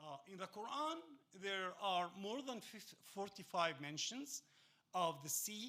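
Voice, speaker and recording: A man speaks with an Arabic accent. His tone is bright and sharp. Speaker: teacher. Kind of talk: lecture. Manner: halting, many fillers.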